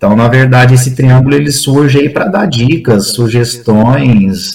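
A man speaks fairly slowly at a medium pitch, his pitch varying in an ordinary way. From Brazil, interior of São Paulo state (Franca). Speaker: recreation professional and leisure manager. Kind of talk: casual interview chat.

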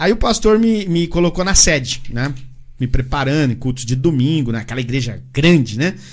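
A somewhat breathy man at a moderate pace, with lively intonation. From Paraná, Brazil. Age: 40s. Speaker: evangelical churchgoer, former ministry member. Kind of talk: testimony. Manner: halting, repeats words.

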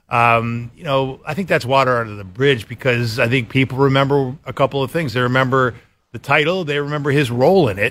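The man has an ordinary speaking voice at medium pitch, with ordinary pitch variation and a fairly quick pace. His loudness shows big swings. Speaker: newspaper sports columnist and radio panelist. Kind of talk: casual sports talk radio.

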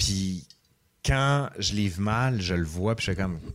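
A man speaks with lively intonation at a fairly low pitch. It is a normal speaking voice. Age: 40s. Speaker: history professor and YouTuber. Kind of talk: casual interview.

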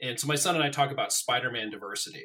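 A man with an American accent speaks at a fairly quick pace in an unremarkable speaking voice, his pitch fairly high and his pitch variation ordinary. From Colorado, US. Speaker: political writer. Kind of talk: casual chat.

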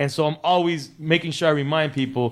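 Fairly high in pitch and fairly quick, a man with an American accent talks in a plain, everyday voice. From Miami (Cuban American, early childhood in LA). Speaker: DJ and podcast host. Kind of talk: casual interview chat. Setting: studio.

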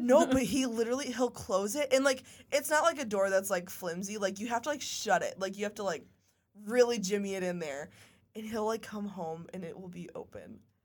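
A woman's plain, everyday voice, fairly high in pitch, with lively intonation at a moderate pace. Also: big swings in loudness. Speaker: podcast co-host. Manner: casual, chatty.

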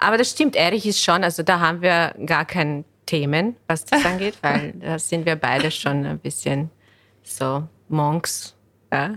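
This speaker talks at a fairly slow pace in a Bosnian accent. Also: woman, fairly low pitch for a woman, ordinary pitch variation. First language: Bosnian (speaking German). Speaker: real estate lawyer. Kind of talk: podcast interview.

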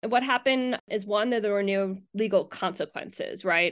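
A woman with an ordinary speaking voice, fairly high in pitch, at a fairly quick pace over a quiet background. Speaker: university professor. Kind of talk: interview, explanatory talk.

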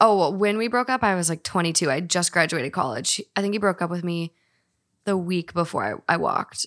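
In a very clean recording with a silent background and a dry, close sound with no echo, a woman with a fairly low pitch talks at a fairly quick pace with lively intonation in a normal speaking voice. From Minnesota. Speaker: podcaster. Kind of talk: casual chat.

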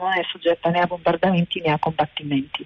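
A woman speaks with an Arabic accent at a fairly quick pace. Her pitch is fairly low. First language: Arabic (speaking Italian). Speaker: animal sanctuary founder. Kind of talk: interview. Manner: halting. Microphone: noisy line.

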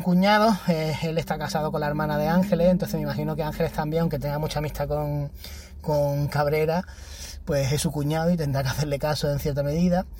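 A man with an ordinary speaking voice talks at a fairly quick pace in a fairly high pitch. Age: 30s. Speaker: podcaster. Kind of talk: casual monologue.

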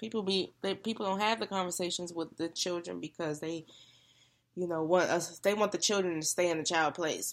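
Fairly quick and fairly even in intonation, a woman speaks in a plain, everyday voice. Her pitch is fairly low, and the recording is very clean with a silent background. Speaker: sister guest. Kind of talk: casual chat.

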